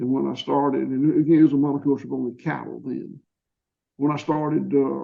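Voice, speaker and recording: Here is a man with a Georgia accent. He talks at a moderate pace. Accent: Southern US (Georgia). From US South, Georgia. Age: 60s. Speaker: farmer. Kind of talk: interview. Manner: halting, with repetitions.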